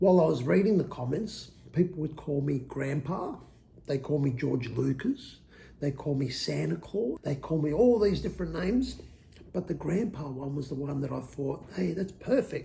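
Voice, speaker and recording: A man with a dark, mellow tone speaks at a fairly high pitch, his voice swinging very widely in pitch and dipping into vocal fry. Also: moderate pace. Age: old. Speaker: YouTuber. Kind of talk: casual talk to camera, personal story.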